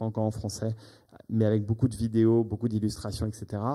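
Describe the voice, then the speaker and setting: A man with a dark, mellow tone and a fairly low pitch speaks on a very clean recording with a silent background. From United States. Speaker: business executive. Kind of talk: business presentation. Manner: halting.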